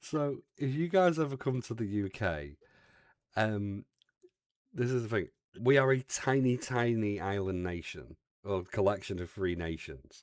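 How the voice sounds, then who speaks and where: A man with an English accent speaks at a fairly low pitch with lively intonation. The recording is very clean, with a silent background. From England. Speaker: streamer. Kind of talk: casual chat.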